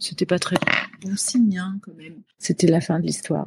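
A woman's medium-pitched voice in a flat monotone. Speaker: pop singer. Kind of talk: interview. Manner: halting, many hesitations.

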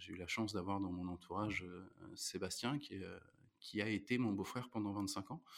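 A man with a fairly low pitch speaks at a moderate pace in an unremarkable speaking voice, his intonation fairly even. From France, Normandy (Rouen). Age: 30s. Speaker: restaurant manager. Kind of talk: interview.

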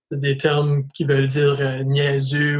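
A man's somewhat breathy, fairly high voice at a fairly slow pace. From Canada, northwestern New Brunswick (Acadian French). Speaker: LGBTQ school outreach speaker. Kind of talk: interview testimony. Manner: hesitant, with many repetitions.

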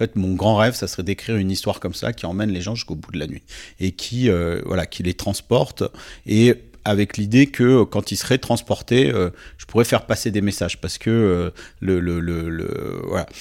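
With ordinary pitch variation, this man keeps his delivery at a moderate pace. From southern France, Nice. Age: 40s. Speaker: writer and NGO president. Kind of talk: interview conversation. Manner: hesitant, many repetitions and fillers.

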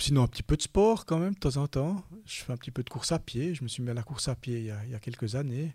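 Somewhat breathy and dark, mellow in tone, the voice rushes at a very fast pace with lively intonation, captured dry and close with no echo on a very clean recording with a silent background. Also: man, medium pitch for a man. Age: 50s. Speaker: bank executive. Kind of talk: interview. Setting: studio. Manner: halting.

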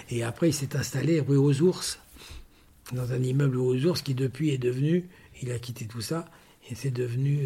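A man talks at a fairly slow pace and medium pitch with ordinary pitch variation. His tone is dark and mellow, somewhat breathy. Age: 70s. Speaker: metalwork craftsman for fashion houses. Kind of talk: interview storytelling. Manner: halting, many repetitions.

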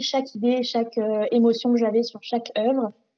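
A woman's fairly high, monotone voice with flat intonation at a moderate pace. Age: 20s.

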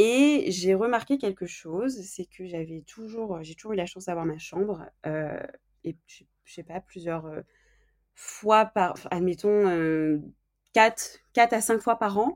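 A woman with a medium pitch speaks at a fairly slow pace with ordinary pitch variation and big swings in loudness. The recording is very clean, the background silent. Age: 20s. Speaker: podcast guest. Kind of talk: interview. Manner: halting.

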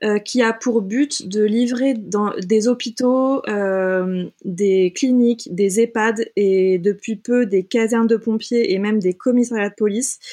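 A woman speaks at a very slow pace with hardly any pauses, her voice fairly high in pitch. Her tone is dark and mellow, with ordinary pitch variation. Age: 30s. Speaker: film and photo advertising producer. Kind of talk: interview.

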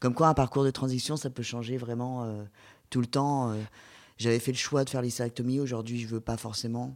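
A man speaks at a fairly quick pace in a monotone, flat intonation. The recording is very clean, with a silent background. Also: medium pitch for a man. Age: 30s. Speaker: patient sharing surgery experience. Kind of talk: testimony.

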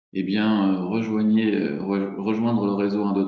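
Very slow and fairly low-pitched, a man speaks with fairly even intonation. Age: 40s. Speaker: real estate agent. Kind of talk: interview. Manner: hesitant, many fillers.

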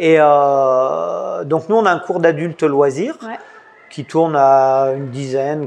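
A man at a very slow pace, with a fairly high pitch and ordinary pitch variation. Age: 50s. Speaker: judo coach and website founder. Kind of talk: interview. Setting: in a dojo. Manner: halting.

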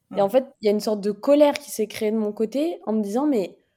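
Ordinary pitch variation runs through speech with a dark, mellow tone. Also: woman. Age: 20s. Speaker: podcast guest sharing her life story. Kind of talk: personal testimony.

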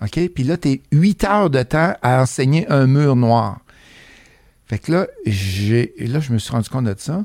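In a Beauce Quebec accent, a man speaks very slowly at a fairly high pitch, with very wide pitch swings. The recording is very clean, dry and close, with a silent background and no echo. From Quebec, Beauce (Saint-Prosper). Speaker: real estate investor and educator. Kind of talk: casual interview chat.

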